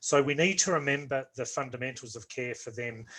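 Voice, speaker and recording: A man talks with a strong Australian accent and fairly even intonation. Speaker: orthopaedic nursing lecturer. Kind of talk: online lecture. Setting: video call. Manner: slow, deliberate.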